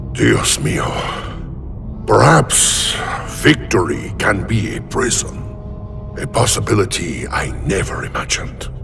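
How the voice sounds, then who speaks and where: Amid loud background noise, a man does a cartoonish character voice, very deep and low, at a fairly slow pace. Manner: proud, commanding.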